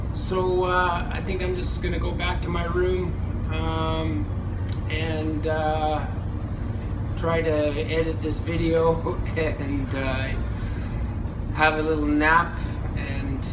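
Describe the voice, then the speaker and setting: Very slow speech broken by long, frequent pauses over noticeable background noise. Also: man. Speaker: travel vlogger. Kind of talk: casual vlog chat. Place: boat. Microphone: phone near.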